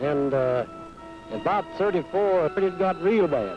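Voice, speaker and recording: With music in the background, a man with an American accent speaks in a high voice. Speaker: rancher. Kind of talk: interview answer.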